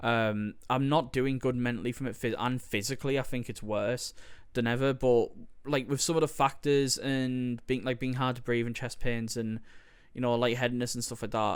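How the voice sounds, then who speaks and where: With a Teesside accent, a man talks at a moderate pace in a medium pitch, his intonation monotone and flat. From northern England, Teesside (Stockton). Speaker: podcaster. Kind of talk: casual solo podcast monologue. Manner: hesitant, many fillers.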